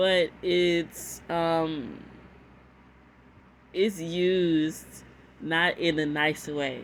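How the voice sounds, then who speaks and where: With an American accent, the speaker goes at a very slow pace with long, frequent pauses and fairly even intonation on a very clean recording with a silent background. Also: woman, fairly low pitch for a woman. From Texas. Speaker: reaction video creator. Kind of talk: casual reaction commentary.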